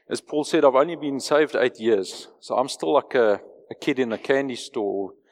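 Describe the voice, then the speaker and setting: Here a man with a South African accent talks at a moderate pace and medium pitch, with ordinary pitch variation. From South Africa, Johannesburg. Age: 40s. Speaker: lay preacher and businessman. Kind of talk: sermon. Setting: church.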